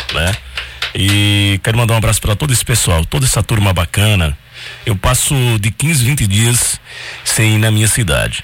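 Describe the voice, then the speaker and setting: A man's fairly low voice at very even loudness, with ordinary pitch variation, long, frequent pauses and noticeable background noise. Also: moderate pace. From Triunfo, Pernambuco, Brazil. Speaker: radio co-host. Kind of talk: radio talk show.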